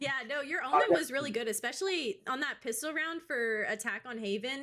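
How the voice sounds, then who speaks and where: Talking fairly quickly in a high, raised, projected voice, a woman sounds animated and bright and sharp, with lively intonation. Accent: Southern US. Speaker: esports caster interviewing players. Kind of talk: casual post-game interview. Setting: video call.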